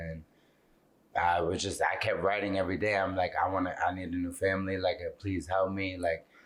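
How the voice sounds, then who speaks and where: A man talks at a fairly quick pace in a very deep, low voice with monotone, flat intonation. The recording is very clean, with a silent background. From Miami. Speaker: model and author. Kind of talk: interview.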